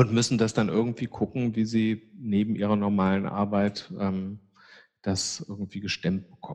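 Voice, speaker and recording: A man with an unremarkable speaking voice talks at a moderate pace. His pitch is fairly low and his intonation fairly even. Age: 50s. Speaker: psychiatrist, chair of a community psychiatry association. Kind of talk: interview.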